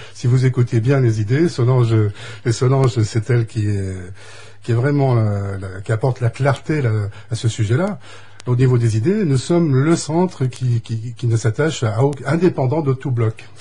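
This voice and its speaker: A man's medium-pitched voice, dark and mellow in tone and somewhat breathy. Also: ordinary pitch variation, moderate pace. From western France (Deux-Sèvres). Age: 60s. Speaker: election candidate. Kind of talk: radio interview.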